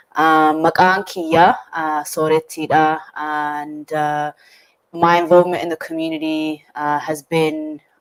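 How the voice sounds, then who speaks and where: This woman has a very deep, low voice. She talks at a fairly slow pace with fairly even intonation. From Australia. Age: 20s. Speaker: community activist and artist. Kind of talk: panel discussion.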